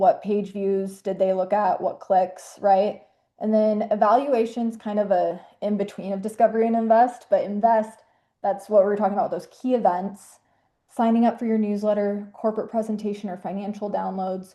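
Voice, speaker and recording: Her voice is at a medium pitch for a woman, with fairly even intonation. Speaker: webinar presenter, marketing specialist. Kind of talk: webinar presentation. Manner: fast; casual, filler-heavy.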